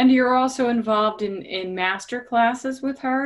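Here is an unremarkable speaking voice from a woman, pitched fairly high. She talks at a moderate pace with lively intonation. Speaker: podcast co-host. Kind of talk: casual interview.

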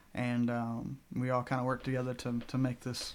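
A man speaks with a Southern US accent. The recording is very clean, the background silent. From US South, Arkansas (Bentonville). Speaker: student pastor. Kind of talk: testimony.

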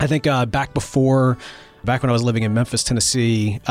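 Very fast delivery with fairly even intonation and a slight Mississippi accent, over music in the background. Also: man. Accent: slight Mississippi Southern. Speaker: podcast founder and show host. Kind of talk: interview conversation.

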